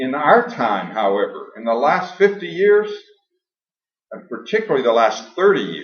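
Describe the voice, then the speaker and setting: A man talks at a moderate pace, his pitch swinging very widely. Audible room echo surrounds his voice. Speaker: science educator, lecturer. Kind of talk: lecture.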